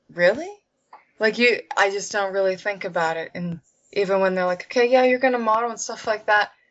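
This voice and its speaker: A woman with an American accent and an ordinary speaking voice talks at a fairly quick pace, at medium pitch with ordinary pitch variation. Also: big swings in loudness. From Pennsylvania, US. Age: 20s. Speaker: actress. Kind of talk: interview.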